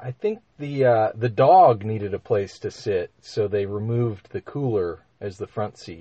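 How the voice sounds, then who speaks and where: A man speaks with an American accent at a fairly slow pace, with hardly any pauses. His voice is somewhat breathy. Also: medium pitch for a man, ordinary pitch variation. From Minnesota. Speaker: fly shop manager, former fishing guide. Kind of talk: casual chat. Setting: studio.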